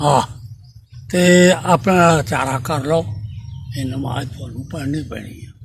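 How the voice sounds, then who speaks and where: Amid noticeable background noise, a man speaks with a fairly high pitch. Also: ordinary pitch variation, big swings in loudness. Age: 80s+. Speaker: elderly eyewitness storyteller. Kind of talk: oral history storytelling.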